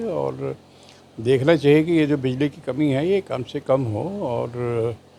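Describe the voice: A man with a dark, mellow tone, medium pitch, ordinary pitch variation and vocal fry.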